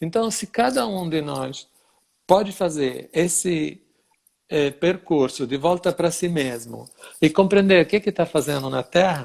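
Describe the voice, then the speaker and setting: A man with a high pitch speaks fairly slowly, his pitch varying in an ordinary way. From Italy (Sicily). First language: Italian (speaking Portuguese). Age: 60s. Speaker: dance teacher. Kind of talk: interview.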